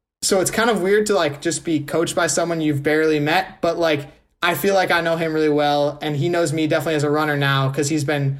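Very fast and fairly high in pitch, a man with an American accent speaks with fairly even intonation. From Wisconsin, Milwaukee area (Shorewood). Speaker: college runner. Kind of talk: interview.

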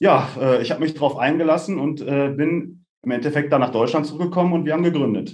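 Talking at a fairly quick pace with hardly any pauses, a man with a fairly high pitch uses a normal speaking voice. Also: ordinary pitch variation. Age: 30s. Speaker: tech startup co-founder and CEO. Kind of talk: podcast interview.

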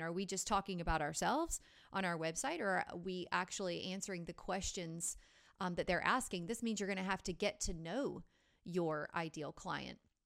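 In a normal speaking voice, a woman keeps a moderate pace at a medium pitch with ordinary variation. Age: 40s. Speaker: marketing agency executive and podcast co-host. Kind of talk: casual business chat.

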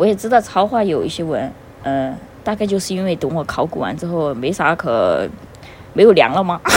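This woman talks fairly quickly, with a fairly low pitch and lively intonation. Noticeable background noise runs underneath. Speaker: fan fiction recommender. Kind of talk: casual chat.

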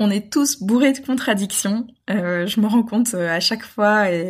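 On a very clean recording with a silent background, a woman speaks at a fairly high pitch and a fairly slow pace, somewhat breathy, with ordinary pitch variation. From international childhood (Gabon, Brazil), French roots. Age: 20s. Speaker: eco-travel advocate. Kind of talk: casual interview. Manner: hesitant, many fillers and repetitions.

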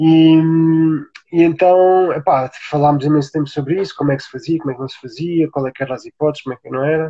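This man speaks very fast at a fairly high pitch, his intonation fairly even. His loudness swings widely. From Portugal, Alentejo (Beja). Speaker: sustainable tiny-house builder. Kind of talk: live-stream interview.

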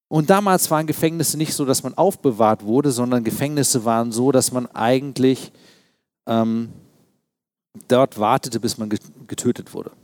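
Moderate pace with long, frequent pauses and ordinary pitch variation, on a very clean recording with a silent background. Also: man, medium pitch for a man. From East Berlin, Germany. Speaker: pastor. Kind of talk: sermon.

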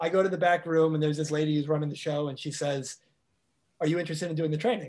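Speaking with a monotone, flat intonation, a man has a fairly high pitch. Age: 30s. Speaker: life coach. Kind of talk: interview.

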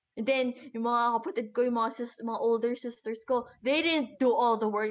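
Her high voice carries fairly even intonation as the woman speaks. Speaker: podcast co-host. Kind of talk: casual chat.

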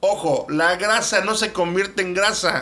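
Bright and sharp in tone, a man speaks with a high pitch for a man. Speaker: podcast co-host. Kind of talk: casual chat.

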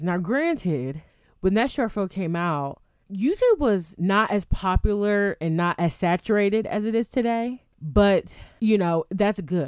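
Here is a normal speaking voice from a woman, medium in pitch with lively intonation. The recording is very clean, with a silent background. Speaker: movie podcast host. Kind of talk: solo movie review podcast.

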